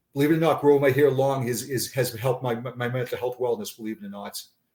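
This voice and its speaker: In a Boston accent, a man speaks with monotone, flat intonation. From Boston area, Massachusetts. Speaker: retired police sergeant. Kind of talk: interview conversation. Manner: halting, frequent repetitions.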